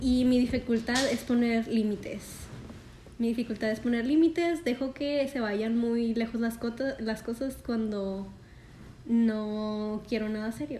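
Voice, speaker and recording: Fairly high in pitch, a woman speaks with a dark, mellow tone. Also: fairly even intonation, fairly slow pace. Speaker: podcast co-host. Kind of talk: casual chat.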